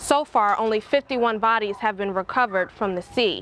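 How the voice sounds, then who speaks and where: A woman with an ordinary speaking voice talks at a fairly high pitch. Her pace is fairly quick, and her pitch variation is ordinary. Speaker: news anchor and reporter. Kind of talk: television news anchor and reporter delivery.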